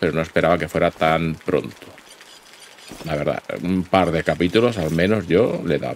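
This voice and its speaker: A man with a very deep, low pitch and a Spanish accent, long and frequent pauses, and noticeable background noise. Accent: Peninsular Spanish. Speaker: gaming YouTuber. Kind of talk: let's play commentary. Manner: animated.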